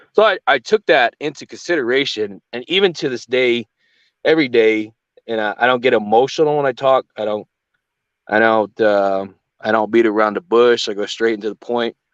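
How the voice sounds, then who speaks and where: Here a man with an unremarkable speaking voice talks at a medium pitch and moderate pace with ordinary pitch variation, in a dry, close sound with no echo. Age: young. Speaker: channel host, agency commander. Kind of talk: casual chat. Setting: livestream.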